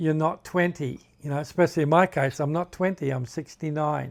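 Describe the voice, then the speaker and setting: A fairly high-pitched man with an Australian accent, moderate pace, and fairly even intonation, on a very clean recording with a silent background. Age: 60s. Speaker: hiking vlogger. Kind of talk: casual tutorial. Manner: halting, self-correcting.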